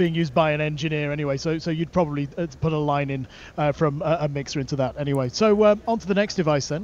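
Light background noise sits behind speech delivered at a very fast pace. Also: man, dry sound with no echo. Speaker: tech product demonstrator. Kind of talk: product demo. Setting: trade show floor. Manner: shouting into mic. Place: hall. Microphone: various devices, phone and codec lines; low level on codec line.

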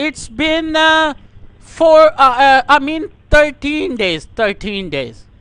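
A man's raised, projected voice with an extremely high pitch, a bright, sharp tone and a South Asian accent, very slow pace, ordinary pitch variation and a dry sound with no echo. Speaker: prank caller; caller. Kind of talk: prank phone call. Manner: loud.

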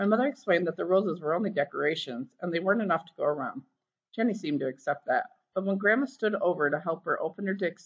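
Lively intonation comes through while reading aloud in a natural voice. The background is quiet.

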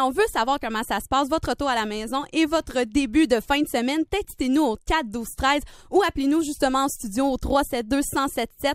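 At a moderate pace with hardly any pauses, the voice shows ordinary pitch variation, with a dry sound that has no echo and a quiet background. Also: woman. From Quebec. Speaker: student radio host. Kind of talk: simulated drive-time radio show. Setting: studio. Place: studio.

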